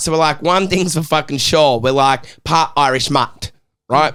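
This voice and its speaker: An animated man with an Australian accent speaks at a moderate pace. His pitch is fairly high, with ordinary variation. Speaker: podcast host. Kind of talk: casual chat.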